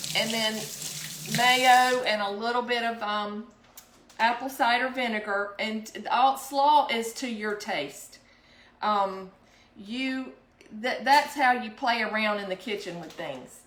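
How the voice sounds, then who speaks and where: Amid audible room echo, a woman with a fairly high pitch and ordinary pitch variation speaks at a very slow pace, with long, frequent pauses and big swings in loudness. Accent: South Carolina. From South Carolina. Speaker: home cooking vlogger. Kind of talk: cooking tutorial. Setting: home kitchen. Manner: casual, hesitant with frequent ums.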